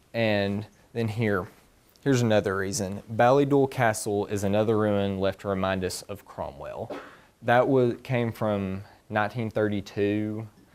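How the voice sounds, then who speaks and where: With a Southern US accent, a man speaks at a moderate pace, his fairly low voice keeping fairly even intonation. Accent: very country Southern. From US South, East Tennessee mountains. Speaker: honors student presenting thesis. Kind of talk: research presentation and Q&A.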